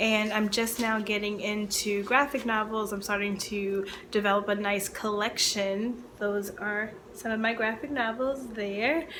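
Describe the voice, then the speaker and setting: A woman with an American accent speaks at a fairly high pitch and a fairly slow pace, with fairly even intonation. Noticeable background noise and audible room echo fill the recording. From Baltimore, Maryland, US. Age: 30s. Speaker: librarian and book video creator. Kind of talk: casual chat to camera (tag video).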